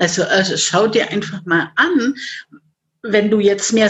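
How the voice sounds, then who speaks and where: A woman speaks in an ordinary speaking voice at a medium pitch and a fairly slow pace. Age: 50s. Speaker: life coach. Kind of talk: interview.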